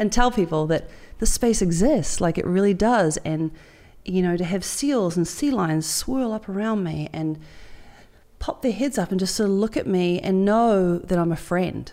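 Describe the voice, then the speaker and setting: A woman with a New Zealand accent speaks at medium pitch in a dark, mellow tone with lively intonation. The recording is very clean, with a silent background. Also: moderate pace. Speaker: marathon open water swimmer. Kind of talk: interview conversation.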